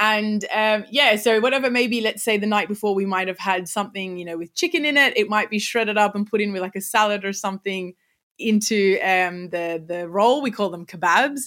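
A bright, sharp tone at a fairly quick pace, with ordinary pitch variation and a very clean recording against a silent background. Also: woman, medium pitch for a woman. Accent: Australian. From Sydney, Australia. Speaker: content creator and teacher. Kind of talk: casual interview.

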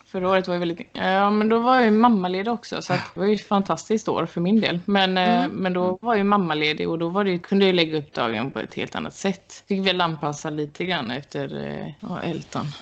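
Speaking at a fairly quick pace, a woman uses a normal speaking voice at medium pitch with ordinary pitch variation. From western Sweden, Gothenburg area. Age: 30s. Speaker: Olympic archer. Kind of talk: interview.

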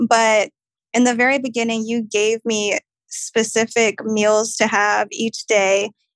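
Recorded dry and close with no echo, a woman talks at a fairly high pitch. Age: 20s. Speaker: travel nurse. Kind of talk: casual interview.

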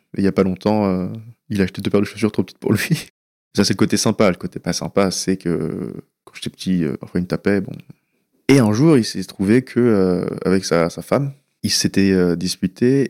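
Speaking at a moderate pace, a man with a fairly low pitch and a dark, mellow tone uses ordinary pitch variation and big swings in loudness. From France, western Paris suburbs. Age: 20s. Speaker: anonymous young patient sharing his story. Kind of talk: personal testimony. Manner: hesitant, with many fillers.

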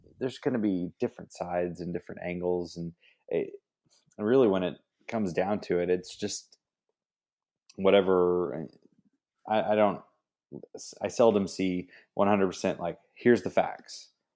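A man with an American accent speaks at a moderate pace in a very deep, low, dark and mellow voice. He uses ordinary pitch variation and takes long, frequent pauses. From Texas, Kerrville. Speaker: mentor and creative. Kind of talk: casual chat.

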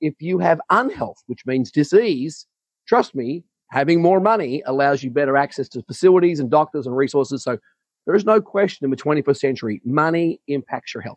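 A normal speaking voice with lively intonation at a fairly quick pace, the sound dry and close with no echo. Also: man, fairly high pitch for a man. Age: 50s. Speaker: business coach and speaker. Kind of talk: interview conversation.

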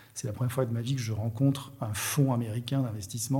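A man's somewhat breathy voice at medium pitch, fairly quick in pace, with ordinary pitch variation. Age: 50s. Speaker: entrepreneur. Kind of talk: casual interview chat. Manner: halting, many repetitions.

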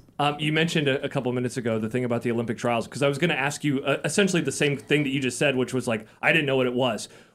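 With an American accent, a man at medium pitch talks at a very fast pace with hardly any pauses and fairly even intonation. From Iowa. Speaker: podcast host. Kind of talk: interview.

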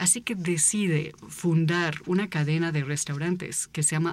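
Over a silent background in a very clean recording, a woman talks at a fairly low pitch with fairly even intonation. She has an unremarkable speaking voice. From United States. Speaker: author and visual artist. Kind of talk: casual chat.

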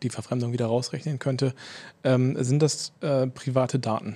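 The man's voice has a dark, mellow tone. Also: very clean recording, silent background. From Berlin, Germany. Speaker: speech recognition researcher. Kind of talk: casual podcast interview.

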